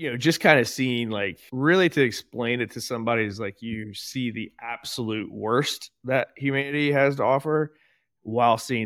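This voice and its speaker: In an ordinary speaking voice, a man talks at medium pitch and a moderate pace with ordinary pitch variation, recorded very clean with a silent background and a dry, close sound with no echo. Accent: American. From US Midwest, southern Ohio (Portsmouth). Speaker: army veteran, entrepreneur and CrossFit coach. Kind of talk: casual interview chat.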